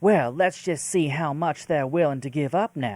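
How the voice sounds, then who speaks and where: In a put-on character voice with a Southern US accent, a man speaks at a moderate pace with a fairly high pitch. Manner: sketchy, scheming.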